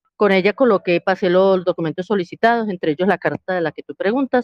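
An ordinary speaking voice from a woman, fairly low in pitch, with ordinary pitch variation. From Colombia, Cali. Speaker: prospective migrant asking questions. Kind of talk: casual group voice chat.

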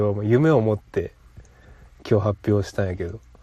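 A man talks with a Kansai accent at a fairly quick pace. His tone is dark and mellow. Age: 20s. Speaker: podcast host. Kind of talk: casual chat.

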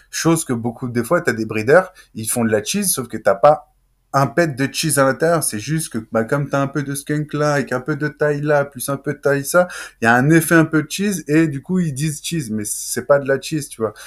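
On a very clean recording with a silent background, a man with a normal speaking voice talks at a fairly quick pace with ordinary pitch variation. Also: fairly high pitch for a man. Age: 30s. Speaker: talk show host and creator. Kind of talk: interview. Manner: casual, slangy.

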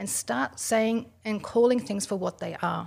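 Speaking with an Australian accent, a woman uses a fairly high pitch. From Australia, Italian immigrant family. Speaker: self-defense trainer. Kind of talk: interview.

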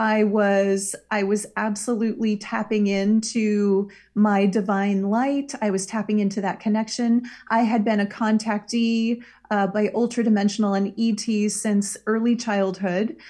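In an American accent, a somewhat breathy voice with a dark, mellow tone speaks at a fairly slow pace in a monotone, flat intonation, with very even loudness over a quiet background. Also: woman, fairly high pitch for a woman. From Iowa, US Midwest. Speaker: spiritual healer and shaman. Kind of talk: casual interview.

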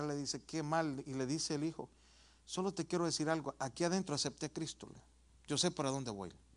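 Against a quiet background, a man with an unremarkable speaking voice talks at a moderate pace, fairly high in pitch with ordinary pitch variation. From El Salvador. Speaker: pastor. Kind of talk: sermon.

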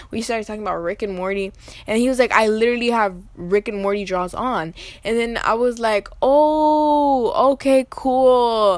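Her tone is animated, with ordinary pitch variation. This woman keeps a moderate pace. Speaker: podcast host. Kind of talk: casual storytime monologue.

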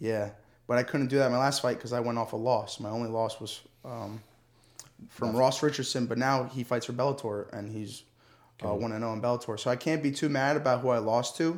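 In an unremarkable speaking voice, a man with an American accent talks at a fairly quick pace and medium pitch with fairly even intonation. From New Jersey, US. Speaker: MMA fighter. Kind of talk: casual chat. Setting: studio.

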